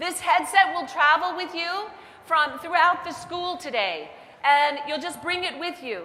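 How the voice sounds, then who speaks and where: A raised, projected voice carries at a moderate pace. Audible room echo and noticeable background noise surround it. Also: woman. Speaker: head of school. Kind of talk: welcome speech. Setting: stage with audience. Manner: high energy.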